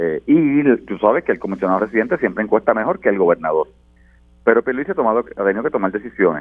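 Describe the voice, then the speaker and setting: Talking at a very fast pace, a man uses a medium pitch that swings very widely. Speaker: politician. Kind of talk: political panel discussion.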